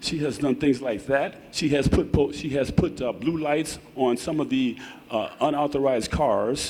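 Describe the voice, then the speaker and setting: A moderate pace and fairly even intonation against noticeable background noise. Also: man, fairly high pitch for a man. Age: 70s. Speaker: resident speaking at public comment. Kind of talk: public comment at board meeting. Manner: impassioned; halting, repeats words.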